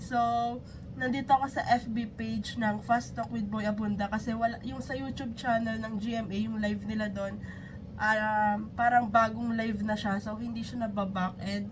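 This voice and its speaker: The voice is somewhat breathy and monotone, flat in intonation, moving at a moderate pace with audible room echo. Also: woman. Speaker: YouTube reactor. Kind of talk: reaction video.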